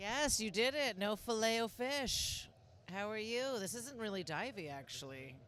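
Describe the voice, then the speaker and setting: A woman talks in an American accent at a fairly slow pace, with vocal fry. Her pitch swings very widely and her loudness rises and falls a lot. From US Pacific Northwest, Seattle. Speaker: stand-up comedian. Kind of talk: casual chat. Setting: sports bar.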